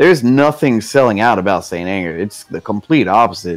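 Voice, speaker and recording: A man with a medium pitch talks with lively intonation while music plays in the background. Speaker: video game streamer. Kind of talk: casual chat. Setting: live stream on camera. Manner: animated.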